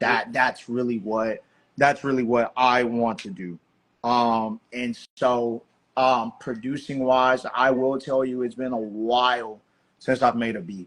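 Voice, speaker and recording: Here a man speaks in an American accent at a medium pitch. His delivery is fairly slow, with monotone, flat intonation. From Texas, Houston. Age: 30s. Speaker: DJ and producer. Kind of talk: podcast interview. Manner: casual, many fillers.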